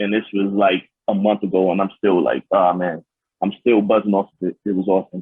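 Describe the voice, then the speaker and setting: The speaker has a New York accent. The intonation stays monotone and flat. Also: man. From New York City. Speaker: pro wrestler. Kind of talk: interview.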